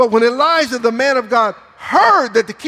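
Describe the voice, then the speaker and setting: This man's raised, projected voice sits at an extremely high pitch. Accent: American. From Michigan, US. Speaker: pastor. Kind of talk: sermon. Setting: church. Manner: animated.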